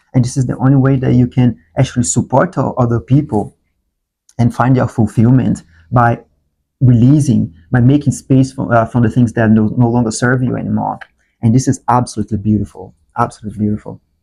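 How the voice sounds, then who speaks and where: A man's somewhat breathy, dark, mellow voice at a medium pitch with fairly even intonation. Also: fairly quick pace. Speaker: tarot reader. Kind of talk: tarot reading to camera. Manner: halting.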